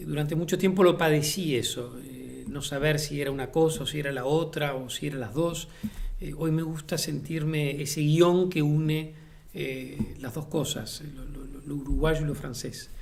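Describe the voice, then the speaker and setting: A man with a fairly high pitch speaks at a moderate pace, his intonation fairly even. His loudness swings widely, and the room echo is audible. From Uruguay, Montevideo. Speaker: playwright and theatre director. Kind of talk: interview. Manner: halting, many fillers and repetitions.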